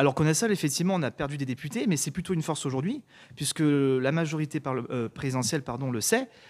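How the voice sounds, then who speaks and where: A man pitched fairly high races along at a very fast pace, his pitch varying in an ordinary way. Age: 20s. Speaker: young politician, lawyer. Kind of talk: interview answer.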